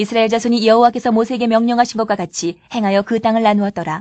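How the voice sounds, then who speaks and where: Against a quiet background, a woman talks very fast in a monotone, flat delivery. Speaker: Bible reader. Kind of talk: reading aloud.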